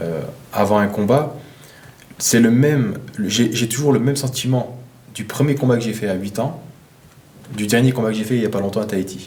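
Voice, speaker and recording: At a moderate pace, a man speaks in a medium-pitched voice with ordinary pitch variation and long, frequent pauses. Noticeable background noise and audible room echo are present. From eastern France. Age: 20s. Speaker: professional boxer. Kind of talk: interview. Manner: halting, many fillers and repetitions.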